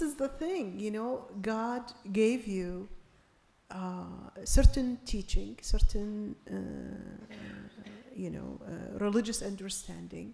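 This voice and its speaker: A woman speaks very slowly with long, frequent pauses. Her voice is fairly high and somewhat breathy, with big swings in loudness. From Iraq. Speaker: invited speaker, activist. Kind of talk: panel discussion.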